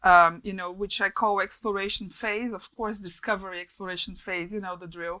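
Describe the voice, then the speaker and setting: Speaking in a Portuguese accent, a woman talks at a fairly quick clip with hardly any pauses, her medium-pitched voice bright and sharp in tone yet flat and monotone, while her loudness swings widely. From Brazil. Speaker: advertising creative director. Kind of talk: interview. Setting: remote call.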